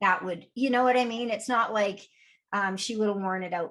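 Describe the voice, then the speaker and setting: Here a woman speaks at a medium pitch. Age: 60s. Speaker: podcast co-host, fitness coach. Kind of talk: casual chat. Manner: conversational, hesitant fillers.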